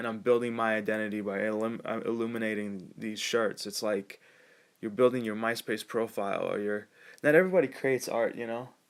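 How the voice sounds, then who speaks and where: A man with a Californian accent talks at a fairly quick pace in a medium pitch. The recording is very clean, with a silent background. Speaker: vlogger. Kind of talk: casual monologue to camera. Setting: self-recorded video. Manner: halting, many restarts.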